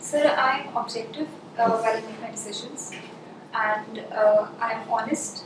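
With noticeable background noise and audible room echo, a woman speaks fairly slowly in a fairly high voice with fairly even intonation. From India. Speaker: civil services candidate. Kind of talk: mock job interview. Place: meeting room. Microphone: camera far.

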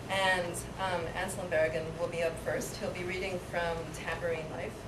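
Loud background noise accompanies a woman speaking. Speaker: bookshop event host. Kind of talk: welcome and announcements. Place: shop.

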